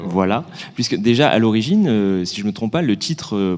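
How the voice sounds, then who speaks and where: A man speaks at a very fast pace with lively intonation. His pitch is medium. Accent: southern French. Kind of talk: conversational, discussing a book.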